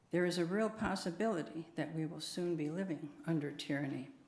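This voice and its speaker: A woman with an American accent speaks at a very deep, low pitch and a moderate pace. Her intonation is fairly even, and the room gives audible echo. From USA. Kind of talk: prepared talk at church service.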